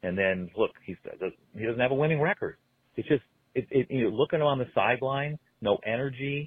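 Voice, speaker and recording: A man's medium-pitched voice with lively intonation at a fairly quick pace. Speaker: caller, longtime fan. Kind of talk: voicemail. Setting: phone call. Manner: halting.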